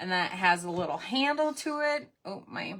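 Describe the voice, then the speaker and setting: This woman has a strong Minnesotan accent and a bright, sharp tone. Her intonation is lively. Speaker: crafting livestream host. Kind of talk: live craft tutorial. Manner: casual, chatty.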